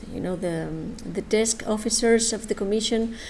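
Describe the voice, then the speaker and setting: A woman with a Spanish accent speaks at a moderate pace in a fairly high voice with a dark, mellow tone, and audible room echo surrounds her. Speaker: government official presenting a funding program. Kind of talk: conference presentation. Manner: halting, many hesitations.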